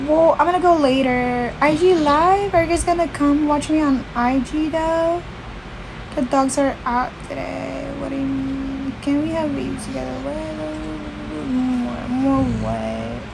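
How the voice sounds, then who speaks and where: Very slow speech comes through over noticeable background noise. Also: woman. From Philippines. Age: 20s. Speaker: livestreamer. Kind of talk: casual chat. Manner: animated. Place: home room. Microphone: phone near.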